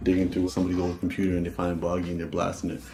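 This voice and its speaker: A man with a very deep, low pitch and a dark, mellow, somewhat breathy tone speaks at a very fast pace amid audible room echo. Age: 30s. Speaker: rapper and spoken-word artist. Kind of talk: documentary interview.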